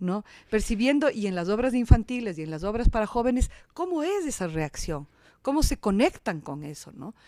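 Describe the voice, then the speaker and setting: A woman's fairly high voice at a moderate pace, with very wide pitch swings and big swings in loudness, on a very clean recording with a silent background. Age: 60s. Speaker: actress and theatre director. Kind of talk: interview conversation. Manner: halting, with many repetitions.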